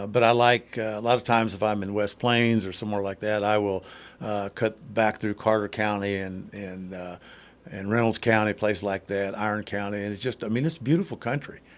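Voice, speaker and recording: Fairly low in pitch, a man with an American accent and an unremarkable speaking voice talks at a fairly quick pace. His intonation is fairly even. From southern Indiana. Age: 60s. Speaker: congressional candidate. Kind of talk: radio interview. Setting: radio studio. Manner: casual, many fillers and repetitions.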